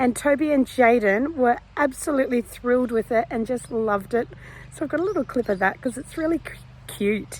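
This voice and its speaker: This woman has a high-pitched voice with an Australian accent. She talks at a fairly quick pace with ordinary pitch variation. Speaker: cancer patient vlogger. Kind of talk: personal video diary.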